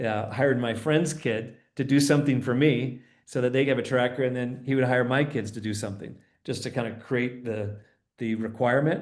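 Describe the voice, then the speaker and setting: This man talks at a fairly quick pace with a medium pitch. His intonation stays fairly even, and the room echo is audible. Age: 60s. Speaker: financial speaker. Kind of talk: interview.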